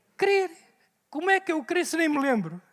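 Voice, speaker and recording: A man speaks in an animated tone with a European Portuguese accent. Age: 70s. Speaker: pastor. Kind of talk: sermon. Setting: church.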